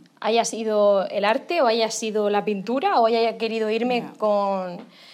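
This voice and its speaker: The speaker is a woman. Her voice sits fairly high in pitch. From Murcia, Spain. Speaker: makeup artist. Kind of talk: interview. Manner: animated.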